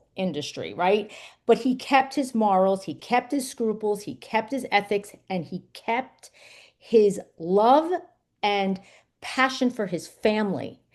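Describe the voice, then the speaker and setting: A woman with an American accent speaks fairly slowly at medium pitch, animated in tone with lively intonation. The background is quiet. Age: 50s. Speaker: memoir author. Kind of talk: interview.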